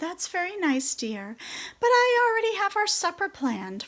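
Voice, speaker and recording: A woman's put-on character voice, squeaky and extremely high-pitched, at a moderate pace. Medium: read story.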